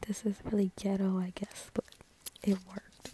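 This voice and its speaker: Over noticeable background noise, a soft-spoken woman is whispering in a dry sound with no echo. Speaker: beauty vlogger. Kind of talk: casual vlog chat. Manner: soft-spoken, near-whispered close talk. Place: home room. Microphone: phone near.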